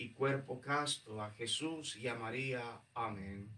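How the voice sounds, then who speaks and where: A man's voice with a bright, sharp tone. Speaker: priest. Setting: church. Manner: solemn, pleading, fervent, reverent cadence with rhythmic repeated invocations. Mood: solemn, devotional. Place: church. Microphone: camera far.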